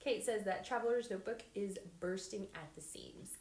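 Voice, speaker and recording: A woman speaks at a moderate pace in an animated tone, with audible room echo around her. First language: not English. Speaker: paper crafter. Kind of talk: livestream craft tutorial. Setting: live stream. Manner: chatty, animated.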